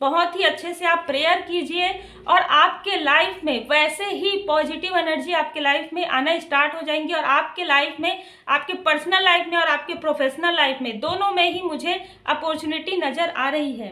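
A woman's extremely high voice, bright and sharp in tone, with fairly even intonation at a fairly slow pace. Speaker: tarot card reader. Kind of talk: tarot reading monologue. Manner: varying pitch, sometimes high, sometimes soft. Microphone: phone near.

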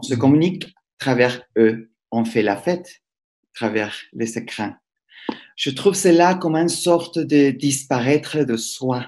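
With lively intonation at medium pitch, a man speaks at a fairly slow pace with long, frequent pauses. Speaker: professor, moderator. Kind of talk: interview. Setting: video call. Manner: halting.

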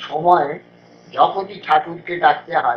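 Noticeable background noise behind a man speaking high-pitched, his intonation fairly even. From Kolkata, India. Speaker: radio broadcaster. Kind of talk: interview answer.

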